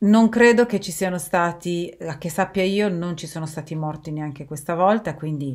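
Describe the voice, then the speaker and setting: A woman's fairly low voice at a moderate pace, with ordinary pitch variation over a quiet background. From Turin, northern Italy; northern Italy. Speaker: video blogger. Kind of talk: monologue to camera. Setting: recorded video while travelling. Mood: calm, serious. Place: home room. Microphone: webcam.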